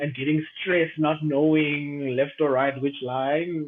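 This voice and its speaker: This man speaks with a South African accent at a medium pitch. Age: 30s. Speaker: aviation professional. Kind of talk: casual chat.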